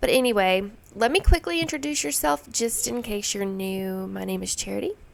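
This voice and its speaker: A woman speaks at a moderate speed. Behind her, music can be heard. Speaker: homemaking vlogger. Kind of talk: casual vlog outro.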